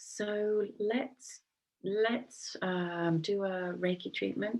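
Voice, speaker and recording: A soft-spoken woman with ordinary pitch variation. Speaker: Reiki practitioner. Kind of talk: guided meditation; casual talk to camera. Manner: hesitant, many fillers.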